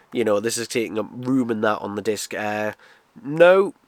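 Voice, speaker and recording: A man with a British accent talks at a moderate pace with ordinary pitch variation. The sound is dry and close, with no echo. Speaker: video reviewer. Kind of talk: casual product review. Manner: casual, lots of fillers.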